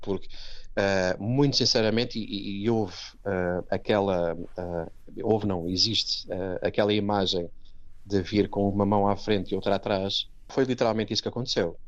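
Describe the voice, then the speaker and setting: A man with a European Portuguese accent, fairly low pitch, fairly even intonation and a moderate pace, against a quiet background. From Portugal, Setúbal. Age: 40s. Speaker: Portuguese emigrant interviewee. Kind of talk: interview. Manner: halting, many repetitions.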